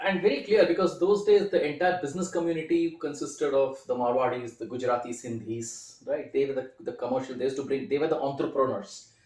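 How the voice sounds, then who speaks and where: Noticeable background noise sits behind a man with an Indian accent who speaks fairly quickly at a fairly high pitch with lively intonation. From India, Kolkata (Calcutta). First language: Hindi. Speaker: film critic and writer. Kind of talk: interview.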